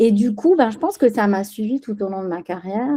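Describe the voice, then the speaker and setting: With a dark, mellow tone and a somewhat breathy quality, a woman speaks at a fairly quick pace with lively intonation, the sound dry and close with no echo. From Spain, raised in France from age 6. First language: Spanish (speaking French). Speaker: business executive. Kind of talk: podcast interview. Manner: hesitant, many fillers.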